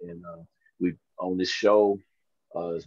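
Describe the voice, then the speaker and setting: Against a quiet background, a man speaks with a Southern US accent in a dry sound with no echo. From US South. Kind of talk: panel discussion. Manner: halting. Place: home room. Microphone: video call.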